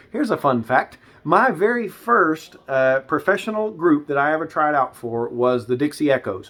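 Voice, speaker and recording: A man with a Tennessee accent at a moderate pace, pitch swinging very widely, with hardly any pauses. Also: fairly high pitch for a man. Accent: Southern US (Tennessee). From West Tennessee. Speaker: gospel bass singer and law officer. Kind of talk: interview testimony. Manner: halting, many fillers.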